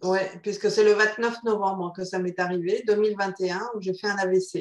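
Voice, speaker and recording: With monotone, flat intonation, a woman talks at a moderate pace in a medium pitch. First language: Spanish (speaking French). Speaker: psychotherapist. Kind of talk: interview.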